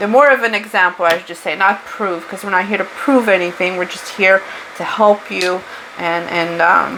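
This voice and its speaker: A woman with a strong Portuguese accent speaks at medium pitch with ordinary pitch variation. Her loudness swings widely over noticeable background noise. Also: moderate pace. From Portugal. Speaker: spiritual tarot reader. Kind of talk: tarot reading monologue. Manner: casual, unscripted.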